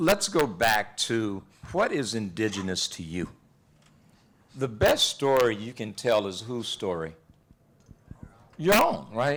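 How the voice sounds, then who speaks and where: In a Texas accent, a man speaks at a very slow pace and medium pitch with lively intonation, big swings in loudness and long, frequent pauses. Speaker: relationship and life coach. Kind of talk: panel discussion. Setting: university event with audience. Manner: animated.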